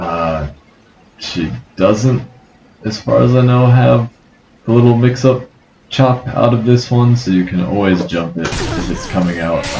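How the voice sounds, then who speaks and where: Over noticeable background noise, a man mumbles at a fairly slow pace, with long, frequent pauses. His pitch is medium and his intonation lively. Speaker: fighting game tutorial creator. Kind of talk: tutorial. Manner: mumbling.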